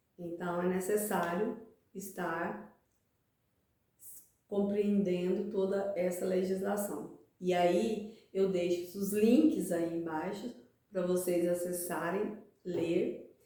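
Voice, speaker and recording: Very slow, fairly even speech with long, frequent pauses and audible room echo. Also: woman, medium pitch for a woman. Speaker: accounting teacher, channel host. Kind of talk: tutorial.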